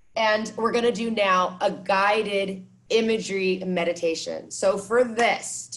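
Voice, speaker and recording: With an American accent, a woman talks at medium pitch with fairly even intonation. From California. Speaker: meditation and movement teacher. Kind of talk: workshop instruction; guided meditation. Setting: video call. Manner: soft-spoken.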